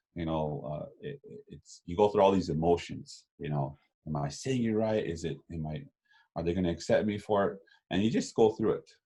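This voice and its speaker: A dark, mellow tone in a Lakota accent, with lively intonation and big swings in loudness. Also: man, very deep, low pitch for a man, moderate pace. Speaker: Lakota language educator. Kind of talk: interview. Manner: halting, many fillers and repeats.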